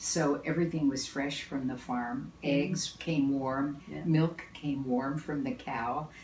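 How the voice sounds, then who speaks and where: Over noticeable background noise, a woman with a very deep, low voice speaks at a very slow pace with hardly any pauses and fairly even intonation. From Kansas. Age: 80s+. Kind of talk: interview answer.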